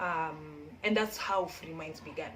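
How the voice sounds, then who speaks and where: In a room with audible echo and noticeable background noise, a woman talks at a moderate pace with a fairly low pitch and ordinary pitch variation. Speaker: community founder and textile designer. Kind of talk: casual vlog chat. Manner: rambling, halting with many fillers.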